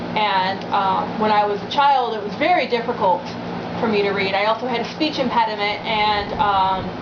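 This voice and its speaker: A woman talks at a moderate pace and medium pitch, with ordinary pitch variation. Noticeable background noise and audible room echo fill the recording. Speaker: witchcraft video blogger. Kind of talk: personal vlog monologue. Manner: hesitant, many fillers; loud.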